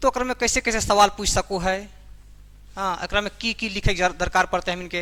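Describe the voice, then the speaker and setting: A man's raised, projected voice, high-pitched with a bright, sharp tone and fairly even intonation. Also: moderate pace. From Jharkhand, India. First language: Khortha (speaking Hindi). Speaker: teacher. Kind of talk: lecture.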